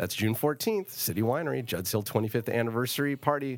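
A plain, everyday voice, fairly quick in pace, with lively intonation. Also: man. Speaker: radio host and winemaker. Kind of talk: casual radio interview. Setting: radio studio.

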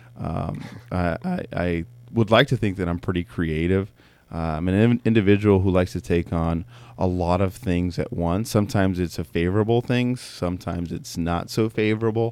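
A man with an American accent and a very deep, low pitch speaks at a moderate pace with ordinary pitch variation on a very clean recording with a silent background. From Southern California, Mexican family. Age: young. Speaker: winemaker. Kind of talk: casual interview.

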